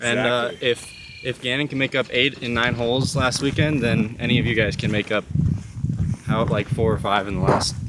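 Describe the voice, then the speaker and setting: A man speaks in a dry sound with no echo amid loud background noise. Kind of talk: casual vlog chat. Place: open country. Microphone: phone near.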